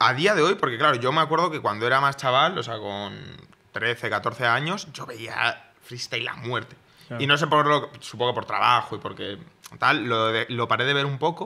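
Here is a man with a plain, everyday voice. His pitch is medium, with ordinary variation. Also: moderate pace. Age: 20s. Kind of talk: casual chat. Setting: studio.

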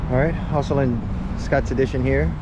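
Recorded with noticeable background noise, a man's voice sounds dry with no echo. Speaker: travel vlogger. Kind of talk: casual vlog chat. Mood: wistful, reflective. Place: street. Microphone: phone near.

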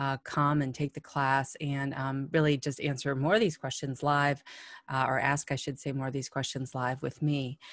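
The speech moves at a moderate pace with a monotone, flat intonation. The sound is dry with no echo, and the background is quiet. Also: woman, very deep, low pitch for a woman. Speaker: course teacher. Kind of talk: casual direct-to-camera update. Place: home room. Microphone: webcam.

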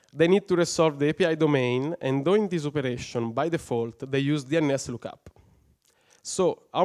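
Against a quiet background, a man with an Italian accent speaks fairly high at a moderate pace with ordinary pitch variation. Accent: non-native English, Italian. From Italy. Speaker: software engineer, conference speaker; conference speaker. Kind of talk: conference talk; tech conference talk. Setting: stage with audience. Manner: halting, many fillers. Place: hall. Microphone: headset.

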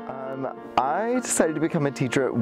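Clear music plays behind a man as he talks. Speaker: high school theater teacher. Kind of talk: interview answer. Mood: warm, reflective. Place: stage.

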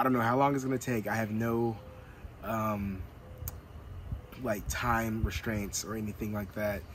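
A man talks at a moderate pace with fairly even intonation. The sound is dry with no echo, over light background noise. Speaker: van life vlogger. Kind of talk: casual vlog chat. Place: car.

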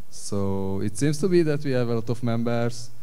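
A man with a normal speaking voice talks at a fairly slow pace. His pitch sits fairly low. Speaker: panelist. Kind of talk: conference presentation. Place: stage.

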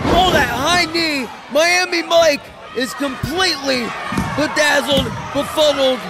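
A man's raised, projected voice at an extremely high pitch, very slow in pace, with noticeable background noise. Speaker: wrestling commentator. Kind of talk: live wrestling commentary. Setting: live indie wrestling show, fire hall. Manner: excitable, punchy exclamations.

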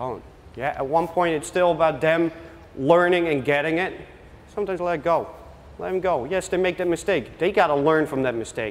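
In a Dutch accent, a high-pitched man talks at a fairly quick pace with ordinary pitch variation. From Netherlands. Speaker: youth soccer coach. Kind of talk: coaching workshop presentation with live drills. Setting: workshop with live audience. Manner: gives short brisk commands. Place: hall.

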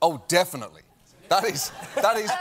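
A man talks with a British accent. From Britain. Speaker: comedian. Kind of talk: talk show interview answer. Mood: jokey, self-deprecating. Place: stage.

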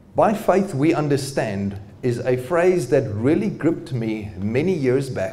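Intonation stays lively as a man talks at a fairly slow pace. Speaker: presenter. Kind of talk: lecture. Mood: warm, good-humoured. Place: hall. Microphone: handheld.

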